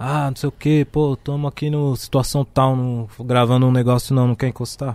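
A man's dark, mellow voice at a fairly slow pace, with fairly even intonation and a dry, close sound with no echo. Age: 30s. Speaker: rapper. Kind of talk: casual chat.

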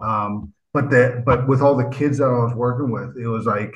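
Room echo is audible as a man with a Canadian accent speaks at a moderate pace. His medium-pitched voice is somewhat breathy. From Vancouver, Canada. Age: 50s. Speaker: writer and motivational speaker. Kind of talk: interview conversation. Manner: animated.

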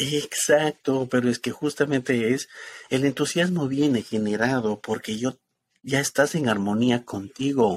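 Recorded very cleanly with a silent background and a dry, close sound with no echo, a man in a plain, everyday voice speaks at medium pitch and a fairly slow pace with ordinary pitch variation. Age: 50s. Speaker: spiritual ministry host. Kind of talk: spiritual talk show chat.

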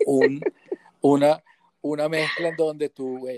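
The sound is dry and close with no echo. A man speaks with ordinary pitch variation. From Venezuela, Guatire (near Caracas). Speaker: sound engineer and music producer. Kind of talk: casual interview chat, technical advice. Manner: halting, frequent repetitions.

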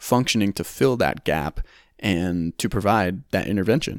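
An unremarkable speaking voice from a man, fairly low in pitch, with ordinary pitch variation at a moderate pace. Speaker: podcast host and occupational therapy student. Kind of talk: casual interview.

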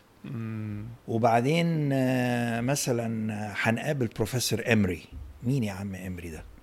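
A man with a medium-pitched voice speaks at a very slow pace, his pitch varying in an ordinary way and his loudness swinging widely. Audible room echo and noticeable background noise surround him. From Egypt, Cairo. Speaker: professor of Islamic art and architecture. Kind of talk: casual interview. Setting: home office. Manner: animated.

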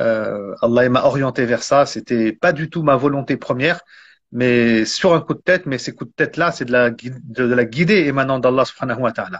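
A man's unremarkable speaking voice, described as an unremarkable speaking voice, at medium pitch with ordinary pitch variation and a moderate pace. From France. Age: 40s. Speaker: Islamic teacher and author. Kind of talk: interview. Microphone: phone held by hand, mic unplugged.

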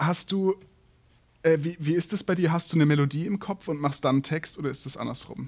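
This man has an unremarkable speaking voice. His pitch is fairly high and varies in an ordinary way. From southern Germany. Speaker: podcast host, musician and photographer. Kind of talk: interview.

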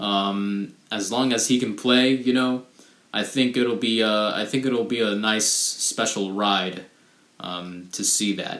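With a fairly low pitch and fairly even intonation, this man speaks at a very slow pace. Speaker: solo podcast host. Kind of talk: casual monologue. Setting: home recording. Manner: hesitant, many fillers; rambling.

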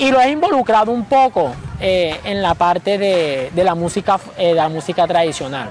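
Over noticeable background noise, the speech moves at a moderate pace with lively intonation. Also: man, high pitch for a man. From Colombia, Caribbean coast (Bolívar). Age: 20s. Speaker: dancer and dance group leader. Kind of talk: interview. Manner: halting, many fillers.

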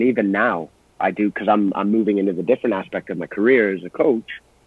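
A man with a fairly low pitch talks fairly quickly, his pitch varying in an ordinary way. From Canada, Brampton, Ontario, Scottish family. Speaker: former pro soccer striker. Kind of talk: podcast interview.

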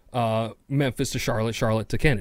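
A man with a New York accent on a very clean recording with a silent background. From New York City. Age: adult, over 21. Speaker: podcast host. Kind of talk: casual solo monologue.

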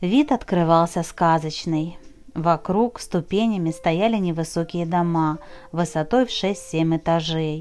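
A woman talks at a very slow pace. Her pitch is fairly low, with ordinary pitch variation. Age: 40s. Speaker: writer reading her diary and novel. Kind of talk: reading aloud.

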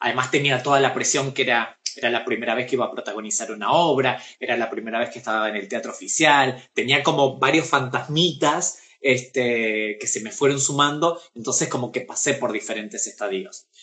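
A man talks at a fairly quick pace with hardly any pauses. His voice has a medium pitch, ordinary pitch variation, and a bright, sharp tone. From Argentina, Pergamino. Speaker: actress and drag performer. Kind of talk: casual interview. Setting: Instagram live video.

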